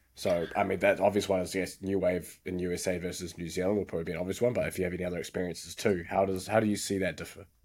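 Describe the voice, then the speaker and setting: Very fast with hardly any pauses, a man speaks in a very deep, low, monotone, flat voice, recorded very cleanly against a silent background. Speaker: podcast host. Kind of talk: podcast interview.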